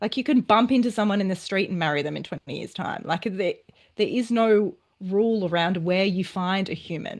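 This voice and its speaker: A woman with an Australian accent talks at a fairly quick pace and medium pitch, with ordinary pitch variation and a quiet background. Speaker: relationship and dating coach. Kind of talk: interview.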